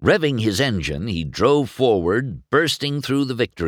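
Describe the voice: This plain reading aloud has lively intonation.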